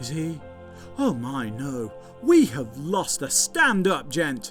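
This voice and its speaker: A put-on character voice with very wide pitch swings and big swings in loudness, delivered at a very slow pace. Clear music plays in the background. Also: man, fairly high pitch for a man. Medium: comedy sketch. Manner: blunt, loud.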